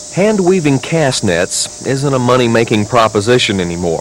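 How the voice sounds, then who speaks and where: Against noticeable background noise, the voice moves at a fairly slow pace with very wide pitch swings. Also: man. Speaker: TV news reporter. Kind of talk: TV news feature voiceover and interview questions. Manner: measured, conversational storytelling.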